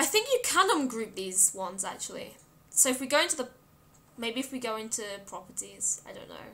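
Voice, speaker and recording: Raising and projecting her high voice, a woman talks at a fairly quick pace with very wide pitch swings and big swings in loudness. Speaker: game streamer. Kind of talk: live game stream commentary. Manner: casual, chatty.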